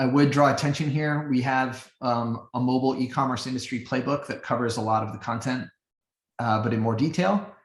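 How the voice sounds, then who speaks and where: A somewhat breathy man's voice at a medium pitch, with ordinary pitch variation and a fairly quick pace. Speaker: business strategy expert presenting a webinar. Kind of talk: webinar Q&A answers.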